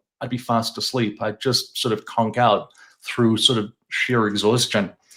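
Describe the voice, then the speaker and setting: Intonation stays fairly even as a man talks in a British accent. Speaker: chronic pain coach. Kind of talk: interview. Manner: hesitant, many fillers.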